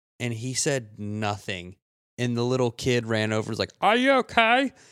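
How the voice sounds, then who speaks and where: This man has an unremarkable speaking voice at a medium pitch and talks at a fairly slow pace. The recording is very clean with a silent background and a dry, close sound with no echo. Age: 20s. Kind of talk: casual chat.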